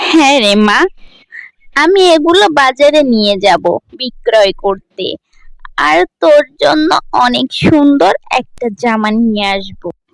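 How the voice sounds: A woman puts on a high-pitched character voice with vocal fry. She speaks at a fairly slow pace with lively intonation.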